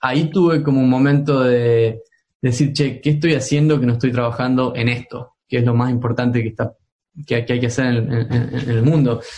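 A man talks at a medium pitch in a dark, mellow tone. His voice is somewhat breathy, with fairly even intonation. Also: moderate pace. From Argentina, Tucumán. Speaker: tech entrepreneur. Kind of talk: interview. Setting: remote call. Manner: halting, many fillers.

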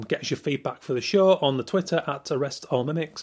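In a Yorkshire accent, a man speaks at a moderate pace and a fairly high pitch with ordinary variation, on a very clean recording with a silent background. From Yorkshire, northern England. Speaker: podcast host, illustrator. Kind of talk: podcast intro and sponsor reads. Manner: casual, chatty.

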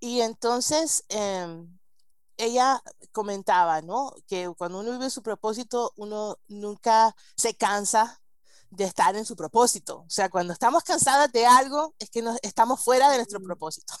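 This woman's voice sits fairly high in pitch with ordinary pitch variation. She speaks at a fairly slow pace. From United States. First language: English (speaking Spanish). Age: 40s. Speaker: marriage coach. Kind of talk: interview.

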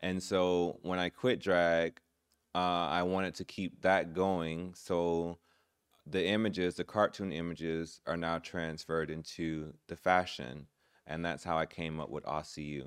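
A man with an American accent, a very deep, low pitch, fairly even intonation and a fairly slow pace, on a very clean recording with a silent background. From Florida, Orlando. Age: 30s. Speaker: drag performer. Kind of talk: interview conversation. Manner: halting, many fillers.

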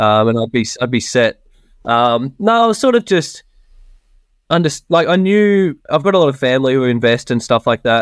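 A man with an Australian accent speaks at a fairly high pitch, with very wide pitch swings and very even loudness. The recording is very clean with a silent background and a dry, close sound with no echo. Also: moderate pace. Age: 20s. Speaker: software developer, property investor. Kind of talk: casual interview chat.

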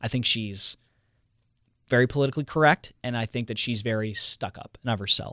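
Bright, sharp tone from a man with an American accent, medium pitch, fairly quick pace, and a dry, close sound with no echo. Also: ordinary pitch variation, very clean recording, silent background. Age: 20s. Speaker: radio host. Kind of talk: casual chat.

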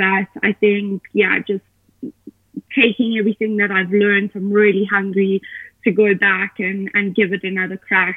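Speaking at a fairly slow pace, a woman with a South African accent keeps a monotone, flat intonation. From Johannesburg, South Africa. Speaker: professional triathlete. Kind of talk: casual interview.

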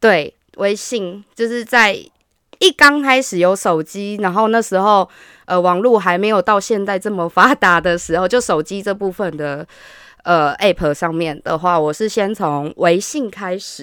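Recorded very cleanly against a silent background with a dry, close sound and no echo, a woman with a normal speaking voice talks fairly slowly at a medium pitch with ordinary pitch variation. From Taiwan, Hsinchu. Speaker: podcast guest sharing dating-app experiences. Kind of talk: casual chat.

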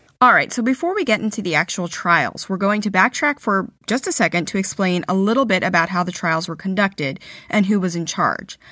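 Against a very clean recording with a silent background, a woman speaks at a fairly quick pace. Her pitch is medium, her tone bright and sharp, with ordinary pitch variation. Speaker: history podcast co-host. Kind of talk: casual storytelling. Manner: animated.

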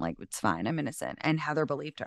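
Over a quiet background, a woman's very deep, low voice comes through dry and close with no echo. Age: 30s. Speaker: content creator and author. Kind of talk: casual chat.

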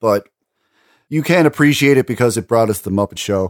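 The very clean recording, with a silent background and a dry, close sound with no echo, carries a man with an ordinary speaking voice at medium pitch and a fairly quick pace. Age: 30s. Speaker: radio host. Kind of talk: casual chat.

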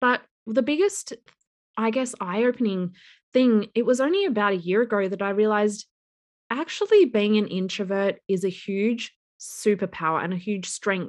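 An Australian accent at a moderate pace with ordinary pitch variation. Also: woman, fairly high pitch for a woman. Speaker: business coach and entrepreneur. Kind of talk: interview podcast. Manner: quiet.

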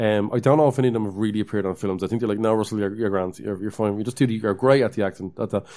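A man with an Irish accent speaks very fast, with hardly any pauses, in a fairly low, dark, mellow voice. The recording is very clean, with a silent background. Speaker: podcast co-host. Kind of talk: casual chat.

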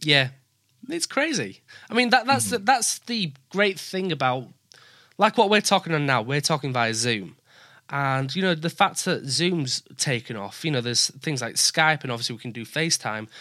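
In a northern English accent, a man speaks at a moderate pace with a fairly high pitch, very wide pitch swings and a bright, sharp tone. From northern England. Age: 20s. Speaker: podcast host. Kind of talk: casual interview chat. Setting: remote call.

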